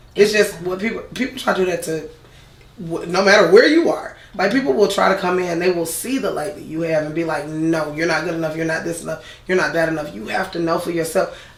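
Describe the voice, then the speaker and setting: A woman with a fairly low pitch talks at a very fast pace. Audible room echo and noticeable background noise surround her. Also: ordinary pitch variation. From Atlanta, Georgia (southwest side). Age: 30s. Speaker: media personality. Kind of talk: casual chat.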